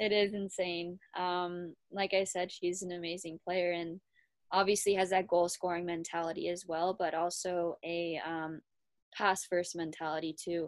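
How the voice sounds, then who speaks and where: A woman with an Ontario accent speaks fairly slowly in a fairly low pitch and a monotone, flat intonation, on a very clean recording with a silent background. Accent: Canadian (Ontario). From Kitchener, Ontario, Canada. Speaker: college hockey player. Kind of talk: interview.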